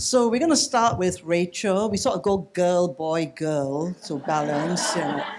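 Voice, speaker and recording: A man speaks very slowly at a high pitch. His intonation is lively. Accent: Singaporean. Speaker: panel moderator. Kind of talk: moderating a panel. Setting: book launch panel with audience. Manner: casual, relaxed.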